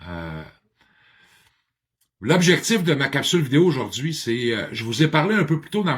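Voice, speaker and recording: Talking at a fairly quick pace, a man with a fairly high pitch uses lively intonation and vocal fry. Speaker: addiction counselor and motivational speaker. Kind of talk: personal video monologue. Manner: talkative; halting, many hesitations.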